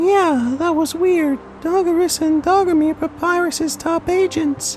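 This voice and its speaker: A squeaky, put-on character voice at an extremely high pitch moves at a fairly slow pace over clear background noise. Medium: audio drama.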